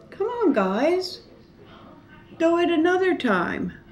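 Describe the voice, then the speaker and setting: A woman speaks at a very slow pace. There is light noise in the background. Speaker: eating show vlogger. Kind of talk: casual vlog chat. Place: home room. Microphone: camera far.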